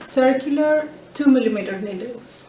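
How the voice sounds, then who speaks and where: A high-pitched woman with a Greek accent, a very slow pace and audible room echo. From Greece. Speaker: knitting and sewing podcaster. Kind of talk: casual show-and-tell podcast. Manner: hesitant, with fillers.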